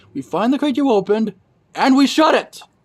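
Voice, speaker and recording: This put-on character voice has high pitch and moves at a fairly quick pace. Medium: read story. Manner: wry, punning.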